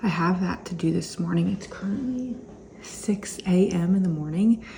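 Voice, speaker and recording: Over noticeable background noise, a woman speaks at medium pitch and a moderate pace. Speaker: reseller vlogger. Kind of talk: casual vlog. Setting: home kitchen.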